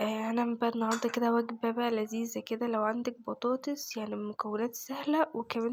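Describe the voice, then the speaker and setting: With an Egyptian accent, a woman talks at a fairly quick pace in a fairly high pitch and a flat monotone, over noticeable background noise. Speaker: home cooking vlogger. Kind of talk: cooking tutorial. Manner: casual.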